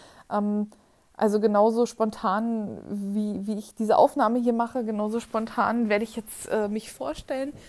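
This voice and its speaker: A woman speaks with a fairly high pitch. Her pace is fairly slow, yet she hardly pauses. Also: fairly even intonation. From eastern Germany, near Berlin. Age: 20s. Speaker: podcaster. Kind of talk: personal monologue. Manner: hesitant, many filler sounds.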